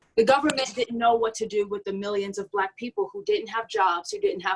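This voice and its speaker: A woman talks at a fairly quick pace with lively intonation in an ordinary speaking voice. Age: young. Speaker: panelist. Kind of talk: panel discussion.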